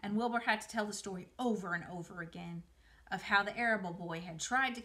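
This clip has someone reading aloud in a natural voice, with ordinary pitch variation.

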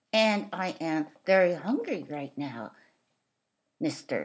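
This is a cartoonish character voice. It sounds female. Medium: puppet show. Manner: exasperated, then politely playful.

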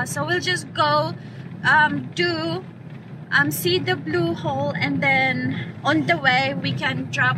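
Over noticeable background noise, a woman talks at a very slow pace in a dry sound with no echo. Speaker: travel vlogger. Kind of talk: casual vlog chat. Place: car. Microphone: phone near.

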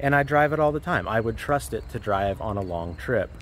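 A man speaks at a moderate pace with vocal fry, the sound dry with no echo and light background noise behind him. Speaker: car channel host. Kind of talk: casual vlog chat. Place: street.

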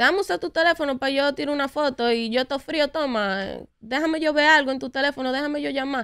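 In a quiet background, a woman with a high voice talks at a very fast pace with ordinary pitch variation. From New York, US (Dominican family). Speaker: urban music singer and songwriter; guest. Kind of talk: interview. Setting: studio. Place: studio. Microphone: studio mic.

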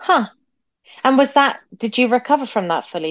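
With an unremarkable speaking voice, a woman talks at a fairly quick pace using lively intonation. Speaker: podcast host. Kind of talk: interview. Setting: video call.

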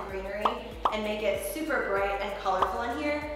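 A woman's voice shows ordinary pitch variation. Loud background noise and audible room echo fill the recording. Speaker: vlogger. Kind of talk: casual vlog chat. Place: empty room.

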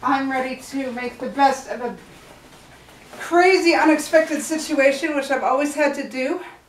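A woman with a high voice speaks at a moderate pace with ordinary pitch variation, and the room gives a strong echo.

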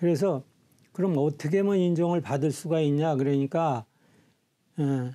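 A man speaks with a dark, mellow tone and lively intonation against a quiet background. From South Korea, Siheung (Gyeonggi); Gyeonggi, South Korea. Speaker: volunteer leader and health shop owner; guest. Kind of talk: interview. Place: studio. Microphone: lapel.

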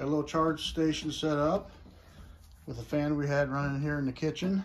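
A man's moderate-paced speech against light background noise. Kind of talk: casual vlog chat. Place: home room. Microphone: phone near.

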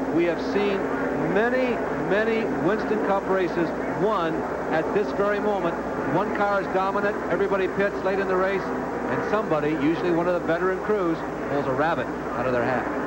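Someone talks at a fairly quick pace. Loud background noise runs underneath. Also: man, ordinary pitch variation. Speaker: race commentator. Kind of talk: commentary.

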